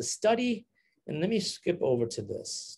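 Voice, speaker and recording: With an American accent, a man speaks at a moderate pace. His pitch swings very wide. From Massachusetts, US. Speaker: medical doctor giving public health talks. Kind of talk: lecture. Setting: live-streamed online talk. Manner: hesitant, many fillers and restarts.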